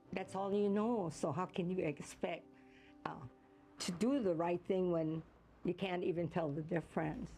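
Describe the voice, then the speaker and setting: A woman speaks with a Hawaiian accent, leaving long, frequent pauses. Music plays in the background. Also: fairly low pitch for a woman, ordinary pitch variation, moderate pace, very even loudness. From Hawaii, Kaneohe. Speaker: retired teacher. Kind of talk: interview.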